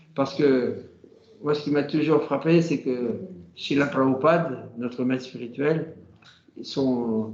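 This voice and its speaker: A man speaks very slowly in a fairly high voice with fairly even intonation, long and frequent pauses, and audible room echo. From France, Normandy. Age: 70s. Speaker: Hare Krishna devotee. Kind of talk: casual conversation. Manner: halting, many hesitations.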